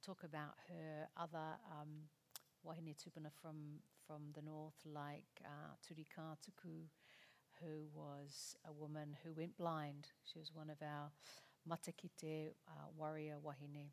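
A woman talks with a very deep, low pitch at a fairly slow pace. Her intonation is monotone and flat. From Aotearoa New Zealand, Māori. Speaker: author and psychiatrist. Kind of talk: author conversation at a festival talk. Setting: stage with audience.

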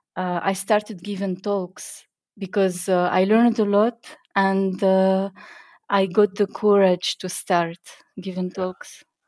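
A woman with an Arabic accent speaks at a very slow pace in monotone, flat intonation. The sound is dry and close with no echo, on a very clean recording with a silent background. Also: medium pitch for a woman. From Tunisia. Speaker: software developer and conference speaker. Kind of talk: interview. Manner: halting, many fillers.

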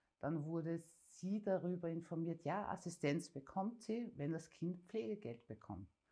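With lively intonation and a dark, mellow tone, a woman speaks at a fairly slow pace in a fairly low pitch. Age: 40s. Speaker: parent advocate. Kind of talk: interview.

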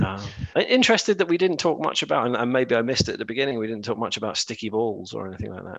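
Very fast delivery with lively intonation. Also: man, medium pitch for a man. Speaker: podcast co-host. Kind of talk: casual chat.

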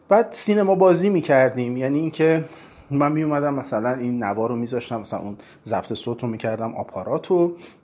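Very fast and full of lively intonation, a man with a fairly high pitch speaks in a dark, mellow tone. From Iran, Tehran. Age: 40s. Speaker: film critic and university lecturer. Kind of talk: personal narrative.

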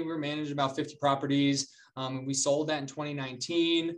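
Keeping a fairly even intonation, a man with an unremarkable speaking voice speaks at medium pitch and a moderate pace. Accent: American. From North Carolina, Charlotte. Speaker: real estate investor. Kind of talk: interview.

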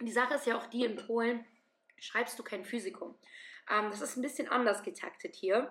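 Pausing often and at length, a woman with a fairly high pitch speaks in an animated tone at a moderate pace with ordinary pitch variation. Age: 20s. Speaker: medical student. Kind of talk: casual interview.

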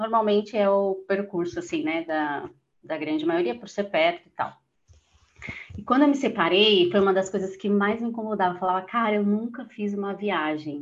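A woman has a plain, everyday voice at a medium pitch. She speaks at a moderate pace with ordinary pitch variation. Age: 30s. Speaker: office worker and solo traveler. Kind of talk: casual interview chat.

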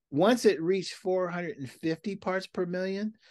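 In a plain, everyday voice, a man with an American accent talks at a fairly slow pace with ordinary pitch variation, his sound dry and close with no echo against a quiet background. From Seattle, US Pacific Northwest. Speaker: community activist and urban farmer. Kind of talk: casual interview.

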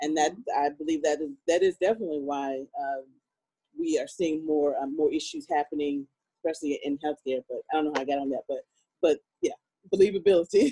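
Using a dark, mellow tone and a fairly high pitch, a man with an American accent moves at a fairly quick pace with ordinary pitch variation but long, frequent pauses. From Virginia. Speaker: panelist. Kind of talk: panel discussion.

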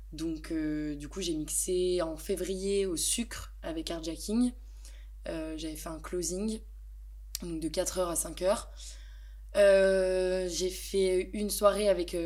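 A woman talks at a very slow pace. Her loudness swings widely. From eastern France, Besançon. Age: 20s. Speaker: DJ and singer. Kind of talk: casual chat. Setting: home studio. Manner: hesitant, with frequent fillers.

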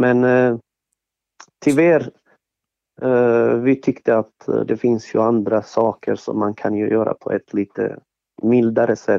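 With a Bosnian accent and medium pitch, a man speaks at a fairly slow pace with fairly even intonation and long, frequent pauses. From Bosnia and Herzegovina (Sarajevo). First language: Bosnian (speaking Swedish). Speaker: event organizer, former strip club owner. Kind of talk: interview. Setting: studio. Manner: halting, many fillers and repetitions.

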